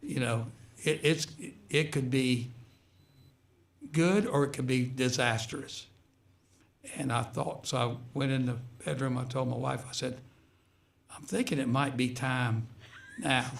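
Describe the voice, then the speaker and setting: A man's somewhat breathy voice, fairly even in intonation, fairly slow, with long and frequent pauses. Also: medium pitch for a man. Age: 70s. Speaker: retired high school basketball coach. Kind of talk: radio interview. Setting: radio studio.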